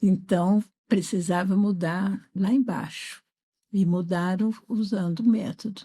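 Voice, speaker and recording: A woman speaks at a very slow pace in a medium pitch, with fairly even intonation and a dark, mellow, somewhat breathy tone. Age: 70s. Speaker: educator. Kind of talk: interview. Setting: studio.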